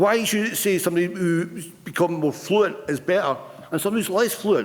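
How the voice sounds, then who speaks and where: The speaker is a man with a high-pitched voice. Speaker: retired union representative and stammering advocate. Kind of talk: conference speech. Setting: stage with audience. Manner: halting.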